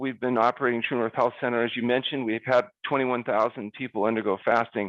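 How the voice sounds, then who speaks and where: A man speaks at a medium pitch and a fairly quick pace in a plain, everyday voice, recorded dry and close with no echo against a quiet background. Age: 60s. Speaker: fasting doctor, health center founder. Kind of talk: interview.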